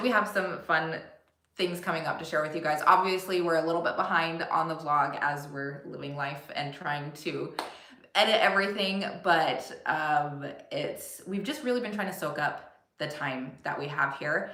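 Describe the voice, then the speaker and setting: Speaking in an American accent, a woman keeps a moderate pace. Her pitch is fairly low with ordinary variation, and the room echo is audible. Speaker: family travel vlogger. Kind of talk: casual chat. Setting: livestream.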